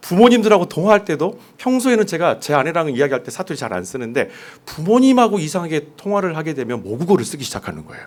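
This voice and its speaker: Vocal fry in a man's fairly high-pitched voice, delivered at a very fast pace. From South Korea, Jeolla region. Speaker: pastor. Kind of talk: sermon. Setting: church.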